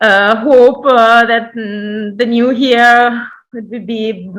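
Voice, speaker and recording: With a non-native accent, a woman speaks very slowly in a bright, sharp tone and fairly even intonation. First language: not English. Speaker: cultural institute representative. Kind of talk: formal welcome speech. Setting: online event. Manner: halting.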